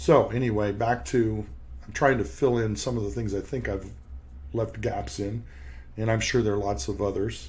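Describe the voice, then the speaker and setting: Lively intonation and vocal fry at a moderate pace, with audible room echo around the voice. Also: man, fairly low pitch for a man. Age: 60s. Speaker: periodontist and podcast host. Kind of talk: podcast monologue. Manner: halting, with repeated words.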